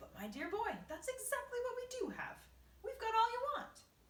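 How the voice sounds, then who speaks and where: At a moderate pace, someone talks in a squeaky, put-on character voice pitched extremely high. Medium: read story. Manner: sharp, proper.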